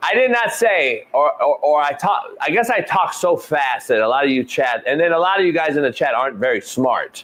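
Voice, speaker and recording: Against noticeable background noise, a man talks in an animated tone at a fairly quick pace, with hardly any pauses and very even loudness. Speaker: sports talk show host. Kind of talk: live sports talk show.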